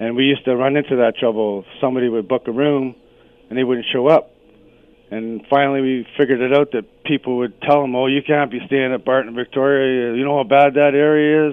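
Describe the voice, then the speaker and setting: A man with a Canadian accent uses an ordinary speaking voice at a medium pitch, with fairly even intonation and a fairly quick pace. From Canada, Sault Ste. Marie, Ontario. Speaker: caller. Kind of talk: radio call-in. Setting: phone call.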